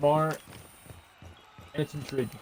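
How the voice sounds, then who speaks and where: Noticeable background noise fills the clip. Through it comes the voice of a man. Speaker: esports commentator. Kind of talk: live commentary. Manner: halting.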